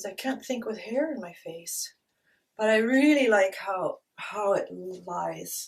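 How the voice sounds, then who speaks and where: Speaking with a Canadian accent, a woman talks at a very slow pace with big swings in loudness. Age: 60s. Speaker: beauty vlogger. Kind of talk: product review tutorial. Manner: casual, chatty with hesitations.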